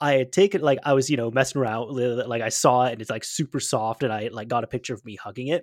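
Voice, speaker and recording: In a very clean recording with a silent background and dry, close sound with no echo, a man speaks very fast with ordinary pitch variation and big swings in loudness. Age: 20s. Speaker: podcast host, YouTuber. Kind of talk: casual chat. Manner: animated.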